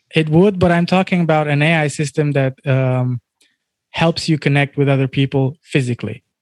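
A man with an ordinary speaking voice and a fairly high pitch talks at a moderate pace with fairly even intonation and very even loudness, on a very clean recording with a silent background and a dry, close sound with no echo. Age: 30s. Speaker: DJ and music artist. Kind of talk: interview conversation.

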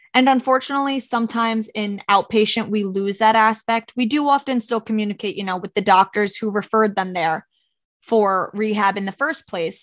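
A woman with an American accent uses a normal speaking voice at a fairly high pitch, with fairly even intonation and a fairly quick pace. The sound is dry and close with no echo, over a quiet background. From Orange County, New York. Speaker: physical therapist, podcast co-host. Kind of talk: casual chat.

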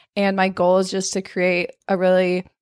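In an American accent, a woman speaks at a moderate pace on a very clean recording with a silent background. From Arizona. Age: 20s. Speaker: personal trainer and content creator. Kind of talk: casual chat.

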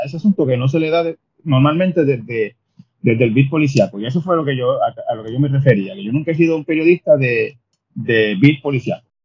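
Somewhat breathy, the speaker moves at a fairly quick pace with lively intonation. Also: man. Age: 50s. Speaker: journalist and columnist. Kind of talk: interview conversation.

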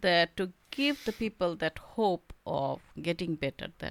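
In a Bengali accent, a woman talks at a fairly slow pace and medium pitch, the sound dry and close with no echo on a very clean recording with a silent background. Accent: Indian English, Bengali. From India, Bengal. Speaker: artist and author. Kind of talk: casual interview.

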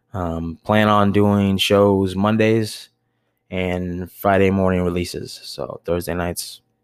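Very deep and low, a man's voice with an American accent holds a monotone, flat intonation on a very clean recording with a silent background. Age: 30s. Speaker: podcast host, bar manager. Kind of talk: solo monologue podcast. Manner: rambling, filler-heavy.

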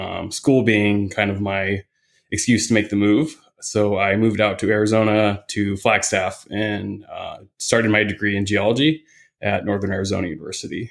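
A man with an American accent and a plain, everyday voice, fairly low in pitch, with fairly even intonation at a moderate pace, in a very clean recording with a silent background. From US Midwest, Indiana. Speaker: hiking guide and photographer. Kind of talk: casual chat.

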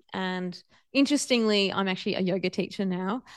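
In a quiet background, a woman with an Australian accent talks at a medium pitch. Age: 40s. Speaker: podcast host and yoga teacher. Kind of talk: personal storytelling monologue.

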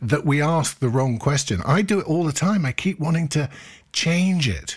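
Somewhat breathy, a man's voice rises and falls with lively intonation. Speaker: mindfulness teacher and podcast host. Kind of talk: talk to a live meditation group.

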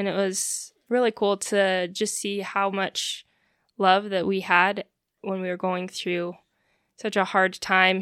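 Monotone and flat, a woman with an American accent speaks at medium pitch on a very clean recording with a silent background. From Utah. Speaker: new mother. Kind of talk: casual interview.

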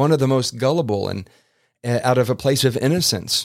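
A man of medium pitch speaks at a moderate pace in an animated, passionate tone with ordinary pitch variation, on a very clean recording with a silent background. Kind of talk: sermon-like solo podcast rant. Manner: informal, conversational.

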